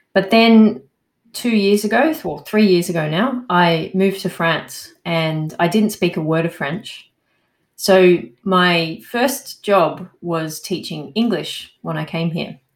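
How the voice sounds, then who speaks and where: A woman with an Australian accent speaks at a medium pitch and a very slow pace, with ordinary pitch variation. The recording is very clean, with a silent background. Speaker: landscape architect and English coach. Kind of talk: interview.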